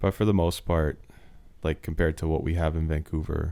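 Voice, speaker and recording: A man's very deep, low voice with a dark, mellow tone, on a very clean recording with a silent background. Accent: Canadian. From Slovakia, then London, Ontario, Canada. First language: Slovak. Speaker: DJ and music producer. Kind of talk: casual interview chat.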